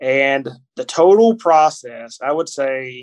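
A man speaks with a Kentucky accent. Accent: Kentucky Southern US. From Kentucky, US. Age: 40s. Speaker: author and wrestling podcaster. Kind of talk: casual interview. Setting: hotel room.

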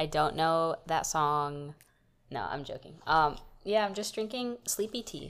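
On a very clean recording with a silent background, a woman with a plain, everyday voice speaks at a moderate pace and a fairly low pitch. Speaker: podcast co-host. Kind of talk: casual chat.

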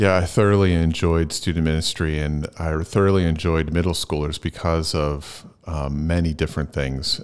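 Using a very deep, low pitch and fairly even intonation, a man speaks with an American accent. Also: moderate pace. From southeastern Pennsylvania. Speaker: pastor. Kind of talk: casual interview.

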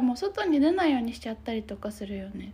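Her tone is dark and mellow. The woman's pitch swings very widely. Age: 20s. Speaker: podcast co-host, counselor. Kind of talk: casual chat.

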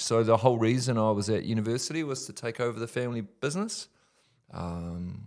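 A man speaks at a medium pitch in a New Zealand accent, keeping a fairly quick pace. The recording is very clean, with a silent background. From New Zealand, Whanganui. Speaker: ministry leader. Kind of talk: testimony. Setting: studio.

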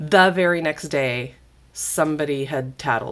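Heard in a very clean recording with a silent background, a woman with a very deep, low pitch speaks with ordinary pitch variation. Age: 50s. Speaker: former Jehovah's Witness. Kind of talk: interview.

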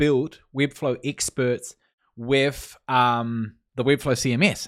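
A man with a New Zealand accent, medium pitch and fairly even intonation, on a very clean recording with a silent background. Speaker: freelancer and no-code builder. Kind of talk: interview.

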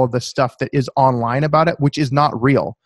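With an American accent and a normal speaking voice, this man talks at a fairly quick pace in a medium pitch, his intonation fairly even and the sound dry and close with no echo. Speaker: author and accountant. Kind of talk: interview.

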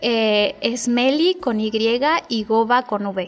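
Fairly high in pitch, a woman speaks in a normal speaking voice with fairly even intonation. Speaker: soprano singer. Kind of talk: radio interview. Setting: studio.

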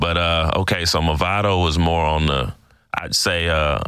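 A man's very deep, low voice carries fairly even intonation. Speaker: podcast host. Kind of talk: casual interview.

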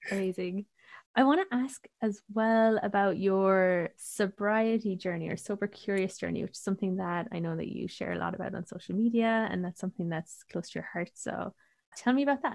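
Against a quiet background, a woman with an Irish accent speaks fairly quickly at medium pitch, the sound dry and close with no echo. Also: ordinary pitch variation. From Ireland. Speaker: podcast host, astrologer and spiritual coach. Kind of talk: casual interview chat.

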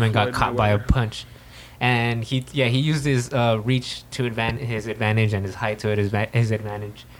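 At a fairly quick pace, a man with a normal speaking voice and medium pitch talks with fairly even intonation. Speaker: podcast co-host. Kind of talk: casual, profane.

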